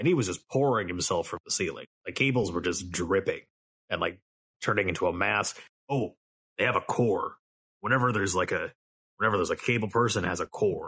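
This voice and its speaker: A man uses a raspy, put-on character voice at a medium pitch. He talks at a fairly quick pace but leaves long, frequent pauses. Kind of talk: casual tabletop roleplay. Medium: actual play. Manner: crude, rambling, profane.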